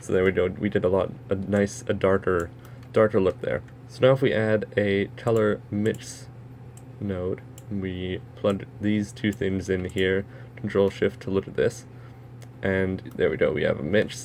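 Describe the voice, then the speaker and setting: The delivery is fairly slow, with ordinary pitch variation. It is an ordinary speaking voice. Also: man, fairly low pitch for a man. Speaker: software tutorial maker. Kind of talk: tutorial.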